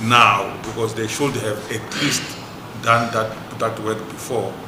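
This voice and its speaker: A medium-pitched man at a moderate pace, with audible room echo and noticeable background noise. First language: not English. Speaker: traditional leaders' house representative. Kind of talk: committee meeting discussion. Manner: halting with repetitions.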